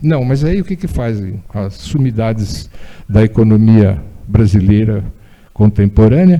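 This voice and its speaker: A dark, mellow tone at a fairly slow pace, with lively intonation. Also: man, fairly low pitch for a man. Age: 80s+. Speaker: former city transport official, engineer. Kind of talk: public talk. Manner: conversational, with hesitations.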